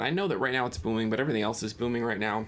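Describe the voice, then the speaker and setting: The tone is animated. The recording is very clean, with a silent background. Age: young. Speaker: real estate investor and reaction video host. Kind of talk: reaction commentary. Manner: casual, animated.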